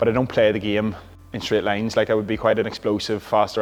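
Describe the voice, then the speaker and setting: He speaks with an Irish accent at a very fast pace. This man's pitch is fairly low. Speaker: Gaelic football player and coach. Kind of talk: gym vlog, casual explanation. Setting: gym. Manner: casual, conversational.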